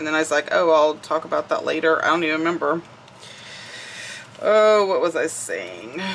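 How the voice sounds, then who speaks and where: Noticeable background noise sits behind a woman with a Southern US accent. She leaves long, frequent pauses. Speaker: crafting YouTuber. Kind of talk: casual crafting tutorial chat.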